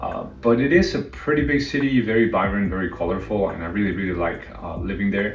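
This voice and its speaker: The speaker talks in a Spanish accent at a fairly quick pace with lively intonation and hardly any pauses. Audible room echo is present. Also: man, fairly low pitch for a man. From northern Mexico, Saltillo. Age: 30s. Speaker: live streamer. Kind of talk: casual chat.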